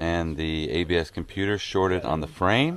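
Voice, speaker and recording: A man speaks at a very deep, low pitch. The sound is dry with no echo, and there is light background noise. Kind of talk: casual vlog chat and tutorial. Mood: upbeat, amused. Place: garden. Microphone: phone near.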